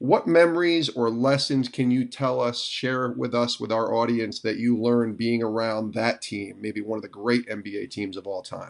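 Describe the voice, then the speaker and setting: A man at a moderate pace with a plain, everyday voice, medium pitch, ordinary pitch variation and hardly any pauses. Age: 40s. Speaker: podcast host. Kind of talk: interview.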